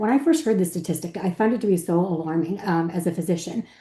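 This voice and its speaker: A woman speaks very fast in a somewhat breathy voice with a dark, mellow tone. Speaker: physician. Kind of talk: panel presentation.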